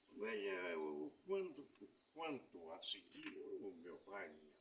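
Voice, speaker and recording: A man at a very slow pace, with audible room echo. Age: 80s+. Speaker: elderly passerby. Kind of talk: casual conversation. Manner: halting.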